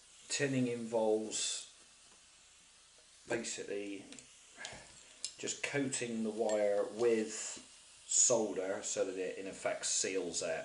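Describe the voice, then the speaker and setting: Very slowly and at medium pitch, a man speaks in a strong Bristol accent, with audible room echo and noticeable background noise. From Bristol, England. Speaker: DIY hobbyist. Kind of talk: tutorial. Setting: kitchen table at home. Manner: casual.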